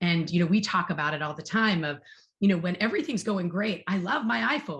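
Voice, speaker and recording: A woman at a fairly quick pace, with very wide pitch swings. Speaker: marketing executive. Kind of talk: fireside chat interview. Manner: fast; animated.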